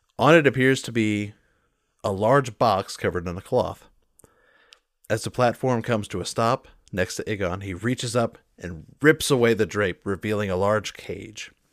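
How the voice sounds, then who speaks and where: On a very clean recording with a silent background, a man with an unremarkable speaking voice talks at a moderate pace, fairly low in pitch and with ordinary pitch variation. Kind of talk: tabletop roleplay game master narration.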